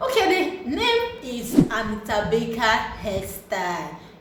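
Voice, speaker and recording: The tone is animated, with very wide pitch swings and a Nigerian accent. Audible room echo and noticeable background noise come through. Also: woman. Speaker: hair and beauty YouTuber. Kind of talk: casual video commentary.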